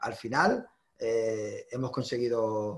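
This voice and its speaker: A man's voice, somewhat breathy. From Ceuta. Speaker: union workplace delegate; interviewee. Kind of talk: interview. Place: home room. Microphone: video call.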